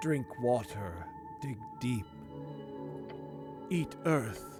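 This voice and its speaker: Someone performs a put-on character voice at a low-to-middle pitch. Loud music plays in the background. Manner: very slow, drawn out.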